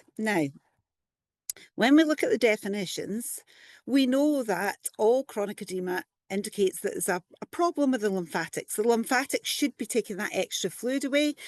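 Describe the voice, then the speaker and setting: A woman with a Scottish accent, lively intonation and a moderate pace, in a dry, close sound with no echo against a quiet background. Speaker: physiotherapist and lymphoedema specialist. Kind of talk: conference presentation.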